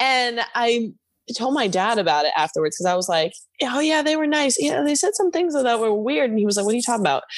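This woman talks at a very fast pace with very wide pitch swings. Her voice sits fairly high. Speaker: activist and page admin. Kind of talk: casual conversation interview. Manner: loud, intense.

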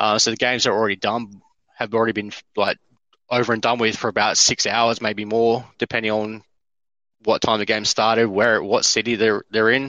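A man's medium-pitched voice in an Australian accent, monotone and flat, with very even loudness and a fairly quick pace. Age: 30s. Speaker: courier and basketball fan. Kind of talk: casual chat.

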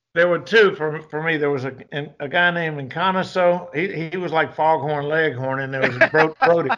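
Here a man speaks in a Southern US accent at a fairly quick pace. His pitch is fairly high with ordinary variation, and he hardly pauses. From US South (Georgia). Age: 60s. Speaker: retired special forces soldier and martial arts instructor. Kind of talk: casual interview conversation.

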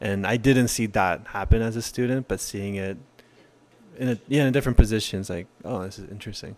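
Speaking in a normal speaking voice with an American accent, a man talks fairly quickly at a fairly low pitch, his intonation fairly even and his loudness swinging widely. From South Korea and Utah. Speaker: podcast guest. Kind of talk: casual chat.

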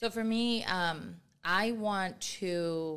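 A woman uses a normal speaking voice, medium in pitch and ordinary in its pitch variation. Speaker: nonprofit chapter president. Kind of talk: casual chat. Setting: studio.

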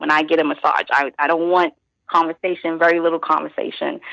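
Talking at a fairly quick pace, a woman in a New York accent has a fairly low pitch. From Brooklyn, New York (East New York). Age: 30s. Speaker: journalist and massage therapist. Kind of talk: interview. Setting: phone call.

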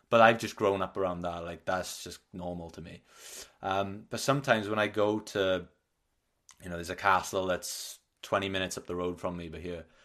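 A man with a Welsh accent and a very deep, low pitch, fairly quick and fairly even in intonation, with big swings in loudness against a quiet background. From Wales. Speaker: podcast host. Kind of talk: casual interview chat. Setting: remote podcast recording.

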